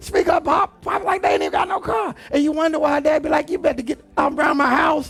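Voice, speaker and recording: Shouting over music in the background, a man with an extremely high pitch talks fairly quickly in an animated tone, with ordinary pitch variation and hardly any pauses. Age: 60s. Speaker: pastor. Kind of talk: sermon.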